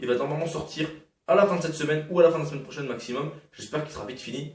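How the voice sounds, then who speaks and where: The speech comes at a very fast pace with audible room echo. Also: man. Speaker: gaming YouTuber. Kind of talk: casual channel update vlog. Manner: hesitant, many fillers.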